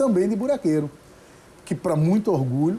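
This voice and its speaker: On a very clean recording with a silent background, a man's dark, mellow voice makes very wide pitch swings. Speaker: judge and singer-songwriter. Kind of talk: interview.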